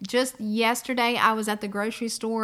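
A woman's fairly high voice with a warm, upbeat tone on a very clean recording with a silent background. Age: 40s. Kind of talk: devotional teaching podcast. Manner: warm and upbeat.

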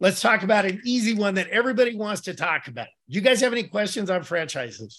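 At a very fast pace with hardly any pauses, a man speaks in an animated tone at a high pitch. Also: ordinary pitch variation. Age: 60s. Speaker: passive income investor and managing partner. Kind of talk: interview on podcast.

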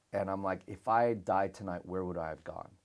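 In a very clean recording with total silence behind it, the talking goes fairly quickly. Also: man. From Australia (Melbourne), early childhood in the Philippines. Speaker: pastor. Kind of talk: casual interview chat. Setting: studio in Melbourne. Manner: animated.

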